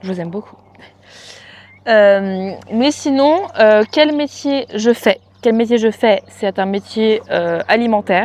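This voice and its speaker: Speaking at a very slow pace, a woman uses a fairly high pitch with ordinary pitch variation and big swings in loudness. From France, countryside. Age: 20s. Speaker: equestrian vlogger. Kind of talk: casual Q&A vlog. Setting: at parents' home with animals. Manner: casual, hesitant with many fillers.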